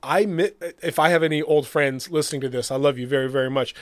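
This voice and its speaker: An ordinary speaking voice: a man at a fairly high pitch, fairly quick, with ordinary pitch variation, in a very clean recording with a silent background. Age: 40s. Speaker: podcast co-host. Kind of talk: casual chat.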